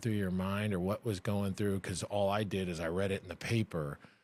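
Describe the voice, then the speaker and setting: A man speaks at a moderate pace with an American accent and a fairly low pitch. His is an unremarkable speaking voice, recorded very cleanly against a silent background. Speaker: former college athlete. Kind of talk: testimony.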